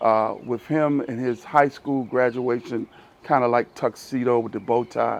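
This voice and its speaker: A man with an American accent talks at a moderate pace and medium pitch, using a plain, everyday voice with fairly even intonation. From US South. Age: 60s. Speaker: pastor. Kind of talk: interview.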